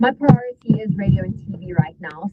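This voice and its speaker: A woman with a South African accent, medium pitch, moderate pace, and noticeable background noise. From South Africa, Cape Town and Durban. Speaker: TV and radio presenter. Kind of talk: interview, casual chat.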